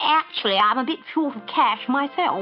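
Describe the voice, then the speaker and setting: A woman uses a put-on character voice at a moderate pace. Faint music plays in the background. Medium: read story. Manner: breezy, polite, unflappable.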